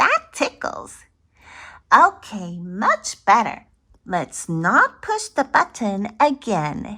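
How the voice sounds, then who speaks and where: This is a put-on character voice that sounds female, pitched fairly high. It moves along at a very slow pace. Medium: read story. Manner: excitable.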